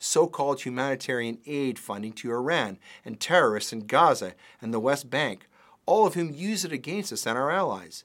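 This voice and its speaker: In a very clean recording with a silent background, a man of medium pitch speaks at a moderate pace with lively intonation. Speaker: political commentator and lawyer. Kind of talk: scripted commentary read aloud, with an angry rant in the middle.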